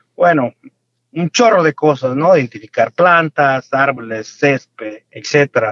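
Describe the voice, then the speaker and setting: His pitch is fairly high for a man, and the intonation is lively. He speaks at a very slow pace. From Mexico, Michoacán. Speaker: farmer and entrepreneur. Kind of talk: interview. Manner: halting, repeats words.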